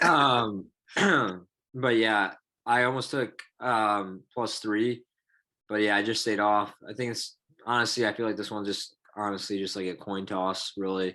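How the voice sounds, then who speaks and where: The tone is bright and sharp, with fairly even intonation at a fairly slow pace and long, frequent pauses. The recording is very clean, with a silent background. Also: man, fairly low pitch for a man. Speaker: sports betting podcast co-host. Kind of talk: casual chat.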